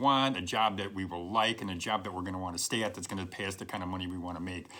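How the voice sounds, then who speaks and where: Fairly low in pitch, a man speaks with a bright, sharp tone. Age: 60s. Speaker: career advice video host. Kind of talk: direct-to-camera advice talk. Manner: conversational, emphatic with repetitions.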